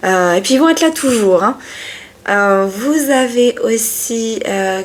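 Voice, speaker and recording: Lively intonation marks a woman's fairly high voice as she speaks at a very slow pace. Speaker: tarot reader. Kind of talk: tarot reading video. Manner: sometimes loud; hesitant, many fillers.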